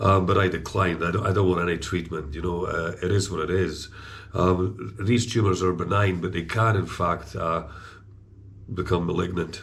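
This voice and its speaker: In a room with audible echo, a man with a very deep, low pitch talks at a moderate pace, somewhat breathy and in a flat monotone. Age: 60s. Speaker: vlogger. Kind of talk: casual chat. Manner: halting, many fillers.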